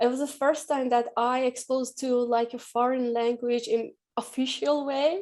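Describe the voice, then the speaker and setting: This woman speaks with an Iranian accent at a moderate pace. Her pitch is high and her intonation fairly even. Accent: Iranian (Persian) accent in English. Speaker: artist. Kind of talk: panel discussion.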